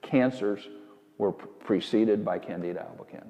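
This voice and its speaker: A normal speaking voice, fairly slow and with fairly even intonation. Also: man. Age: 60s. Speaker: former farmer and rancher, health researcher. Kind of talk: interview.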